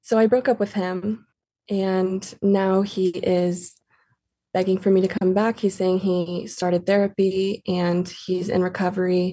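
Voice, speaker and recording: A woman's dark, mellow voice, flat and monotone, fairly slow, with very even loudness. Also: medium pitch for a woman. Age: 20s. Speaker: caller. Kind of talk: casual chat.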